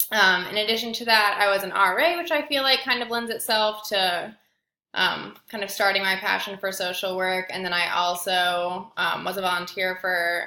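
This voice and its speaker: At a moderate pace, a woman with a Midwestern accent talks in a bright, sharp tone at a medium pitch with ordinary pitch variation. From Indiana, US Midwest. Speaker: graduate student. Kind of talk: self-introduction video. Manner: hesitant, many fillers.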